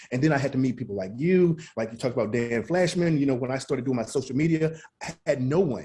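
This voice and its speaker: A man's dark, mellow, somewhat breathy voice at a medium pitch with an American accent, lively intonation, a very fast pace and hardly any pauses. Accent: Southern accent, toned down. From US South, Mississippi. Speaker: chef and motivational speaker. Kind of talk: podcast interview.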